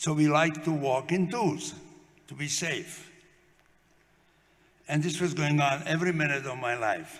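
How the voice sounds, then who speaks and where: A fairly high-pitched man at a fairly slow pace, with long, frequent pauses, ordinary pitch variation and audible room echo. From Slovakia. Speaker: Holocaust survivor. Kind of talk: testimony. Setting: memorial event with audience.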